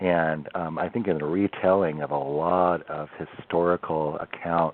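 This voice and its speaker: A man talks in a very deep, low pitch with a Pacific Northwest accent. His intonation stays fairly even. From Oregon coast, US Pacific Northwest. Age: 50s. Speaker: bigfoot history researcher. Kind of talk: podcast interview. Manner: halting, many fillers and repeats.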